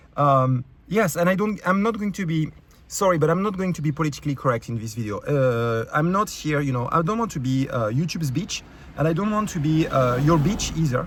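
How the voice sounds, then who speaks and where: A man with a French accent, fairly high-pitched for a man, lively intonation, a fairly quick pace, and noticeable background noise. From France. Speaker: YouTube creator. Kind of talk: rant. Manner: halting, many fillers.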